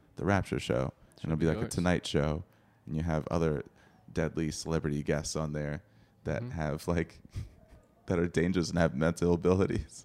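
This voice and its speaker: The voice has vocal fry, ordinary pitch variation and a fairly quick pace, broken by long, frequent pauses. The recording is very clean, with a silent background. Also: man, very deep, low pitch for a man. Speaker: comedy podcast host.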